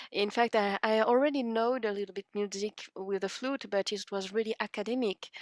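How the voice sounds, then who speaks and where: The speech moves at a fairly quick pace with hardly any pauses. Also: woman, fairly high pitch for a woman. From France, Paris area. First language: French. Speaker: harmonica player. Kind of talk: interview. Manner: halting.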